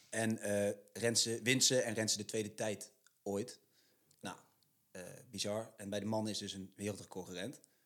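A man at a fairly slow pace, fairly low in pitch, with monotone, flat intonation and long, frequent pauses. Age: 20s. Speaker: podcast co-host, sports. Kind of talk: scripted intro; casual chat.

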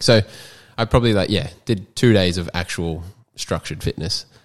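The delivery is very fast, with an Australian accent. The recording is very clean, with a silent background. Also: man. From Australia, Queensland coast. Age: 20s. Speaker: personal trainer and graphic designer. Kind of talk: casual chat.

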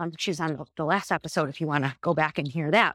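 Recorded very cleanly with a silent background and a dry, close sound with no echo, a woman uses an ordinary speaking voice at a fairly low pitch and moderate pace. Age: 40s. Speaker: podcast host and business founder. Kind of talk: solo podcast monologue. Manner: reflective, with frequent fillers.

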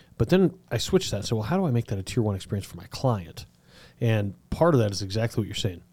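Recorded very cleanly against a silent background, a man talks at a very fast pace in a somewhat breathy voice. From southern Colorado. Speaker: podcast host. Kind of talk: interview.

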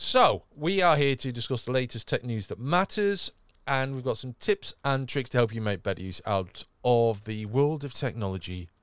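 A man with a slight northern English accent and lively intonation, his dry, close sound free of echo, on a very clean recording with a silent background. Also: medium pitch for a man, moderate pace. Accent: slightly moderated northern English. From northern England. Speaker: tech podcast host. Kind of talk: casual chat. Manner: animated.

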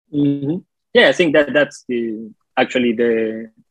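A man talks with a Spanish accent. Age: 30s. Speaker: comic book artist. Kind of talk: casual interview chat.

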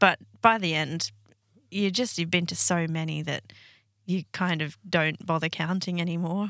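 The recording is very clean, with a silent background. A woman speaks at a moderate pace in a fairly low voice with fairly even intonation. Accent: Australian. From Sydney, Australia. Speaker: paramedic. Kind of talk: interview.

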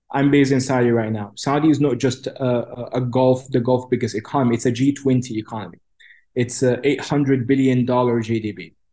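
A man speaks with a dark, mellow tone and a medium pitch. His pace is fairly quick and his intonation fairly even. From Cairo, Egypt. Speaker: policy expert and think tank director. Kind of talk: interview answers, analytical.

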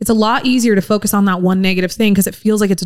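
A woman at a very fast pace, with music in the background. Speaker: podcast co-host. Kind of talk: casual chat. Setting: live broadcast from a car museum. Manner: calm.

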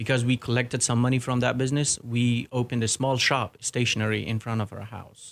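The speaker has an Afghan accent and a monotone, flat intonation. The sound is dry and close with no echo, on a very clean recording with a silent background. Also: man. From Afghanistan. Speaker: soldier and former army interpreter. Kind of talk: casual interview.

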